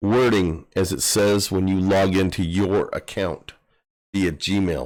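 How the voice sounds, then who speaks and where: A man in a very clean recording against a silent background. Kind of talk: live stream tech tutorial. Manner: casual, conversational.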